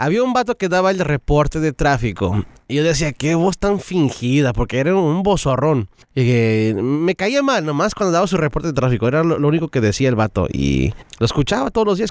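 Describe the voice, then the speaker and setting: Speaking at a fairly quick pace, a man with a fairly high pitch makes very wide pitch swings at very even loudness, in a dry, close sound with no echo. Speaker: radio colleague, guest. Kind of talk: casual chat.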